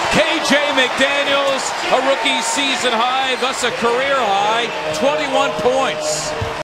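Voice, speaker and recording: A man with an extremely high pitch speaks in a raised, projected voice at a very slow pace, with lively intonation and very even loudness. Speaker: play-by-play basketball announcer. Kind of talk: live NBA play-by-play commentary over game highlights. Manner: excitable, rising to shouts on big plays.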